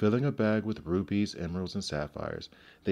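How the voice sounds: Heard here is a natural reading voice.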